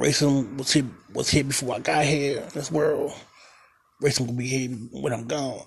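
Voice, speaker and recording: Somewhat breathy and fairly high-pitched, a man talks at a moderate pace with fairly even intonation. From Baltimore, Maryland. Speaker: podcast host. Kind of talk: casual solo podcast monologue. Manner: halting, stumbling, repeats words; informal, conversational.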